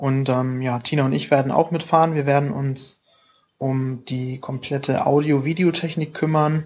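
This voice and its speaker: A man's fairly high voice at a moderate pace, monotone and flat in intonation. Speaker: student podcast co-host. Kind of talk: casual chat. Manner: hesitant, many fillers. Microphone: laptop mic.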